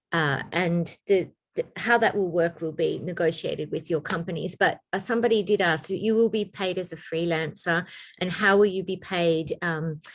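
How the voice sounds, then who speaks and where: With an Australian accent, a woman speaks at a moderate pace in a fairly low pitch for a woman. Her intonation stays fairly even. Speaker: information session host. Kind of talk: Q&A information session.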